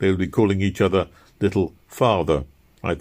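The text is read aloud in a natural voice.

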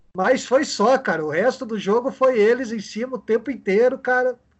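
A man's voice at an extremely high pitch. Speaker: club historian. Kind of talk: casual chat.

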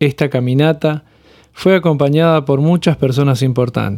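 With a dark, mellow tone and a fairly high pitch, a man speaks at a moderate pace with ordinary pitch variation. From Argentina, Córdoba hills (Punilla valley). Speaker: podcast host. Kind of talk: scripted narration.

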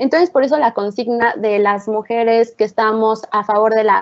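Speaking at a fairly slow pace, a woman with an unremarkable speaking voice uses a fairly high pitch and fairly even intonation. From Oaxaca, Mexico. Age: 20s. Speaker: psychology student. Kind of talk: casual discussion.

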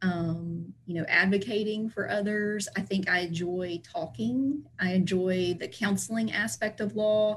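Somewhat breathy, a woman with an American accent speaks at a fairly slow pace with lively intonation. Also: medium pitch for a woman, hardly any pauses. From US South, Tennessee (Chattanooga area). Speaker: estate planning attorney. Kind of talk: interview, explanatory.

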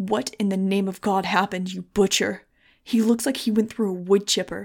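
Doing a put-on character voice, a woman growls in a furious tone at medium pitch, keeping a moderate pace and fairly even intonation. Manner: snarling, furious.

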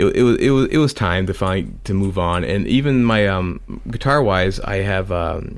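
An unremarkable speaking voice from a man, fairly low in pitch, with ordinary pitch variation and a moderate pace. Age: 40s. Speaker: comic creator and musician. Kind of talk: casual interview chat. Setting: call with host.

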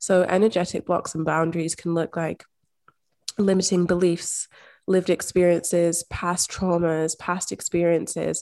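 In a Scottish accent, a woman with a fairly low pitch and a dark, mellow tone speaks in a monotone, flat intonation at a moderate pace, the sound dry and close with no echo and the recording very clean over a silent background. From rural Scotland. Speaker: manifestation and mindset coach. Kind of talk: interview conversation.

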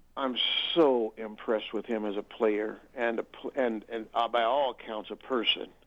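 A man talks at medium pitch and a moderate pace. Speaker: regular radio caller. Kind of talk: phone-in chat about football. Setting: phone call. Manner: animated.

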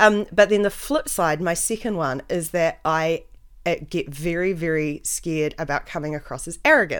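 This woman has a plain, everyday voice, fairly low in pitch with ordinary pitch variation, speaking at a moderate pace in a very clean recording with a silent background. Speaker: podcast host. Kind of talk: casual chat. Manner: joking, self-deprecating.

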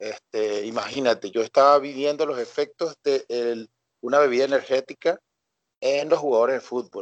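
Fairly even intonation and a moderate pace mark an unremarkable speaking voice, captured with a dry, close sound with no echo. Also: man, medium pitch for a man. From Venezuela, Coro (Falcón state). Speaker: sports scientist and fitness coach. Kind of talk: podcast interview.

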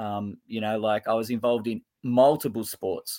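A man with an Australian accent, medium pitch, a moderate pace and fairly even intonation, on a very clean recording with a silent background. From Australia, Sydney. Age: 50s. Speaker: futsal coach. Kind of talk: interview.

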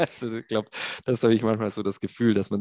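Against a quiet background, a man talks at a very fast pace in a fairly low pitch. The sound is dry and close, with no echo. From Swabia, Ulm (southern Germany). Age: 30s. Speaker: industrial tech executive. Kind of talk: interview.

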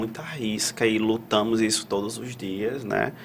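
Monotone, flat intonation from a man, with noticeable background noise. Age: 30s. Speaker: psychologist, podcast co-host. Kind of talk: live panel discussion.

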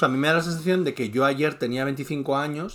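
The man has an unremarkable speaking voice at a fairly high pitch. His pitch variation is ordinary. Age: 40s. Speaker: podcast co-host, YouTuber. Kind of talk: casual chat.

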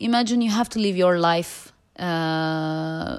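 The recording is very clean with a silent background. A woman speaks with ordinary pitch variation. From Turkey. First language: Turkish. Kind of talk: testimony.

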